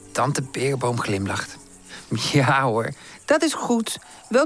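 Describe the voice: What's heard here is plain reading aloud.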